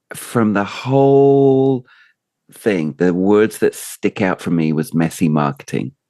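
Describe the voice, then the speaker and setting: Dark and mellow in tone, a man with a fairly low pitch speaks at a very slow pace with very wide pitch swings, the sound dry and close with no echo. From Britain. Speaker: podcast host. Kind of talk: casual interview.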